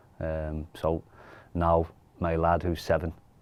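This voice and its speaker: In a Geordie accent, a man speaks with a very deep, low pitch and monotone, flat intonation. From Newcastle, northeast England. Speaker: football academy coach. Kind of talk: casual chat.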